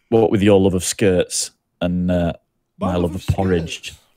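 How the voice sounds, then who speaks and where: A man with a British accent talks at a moderate pace in a very deep, low pitch and a dark, mellow tone. His intonation is monotone and flat, and the sound is dry and close with no echo. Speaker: gaming streamer. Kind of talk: casual chat. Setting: live stream.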